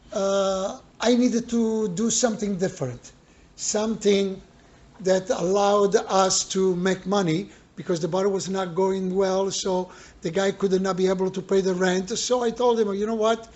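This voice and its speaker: A man with an Italian accent speaks at a moderate pace, his pitch high for a man and his intonation fairly even. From Italy. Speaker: bar owner. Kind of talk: interview. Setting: in a bar.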